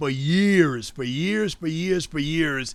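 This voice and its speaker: A man's high voice with ordinary pitch variation at a moderate pace. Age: 60s. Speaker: insurance agency owner and podcast host. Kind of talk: solo podcast monologue.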